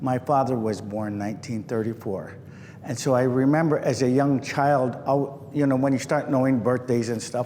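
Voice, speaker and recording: Noticeable background noise and audible room echo surround a man speaking at a moderate pace, his medium pitch showing ordinary variation. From Milwaukee, Wisconsin. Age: 60s. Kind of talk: oral history talk. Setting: nature center visitor hall with audience.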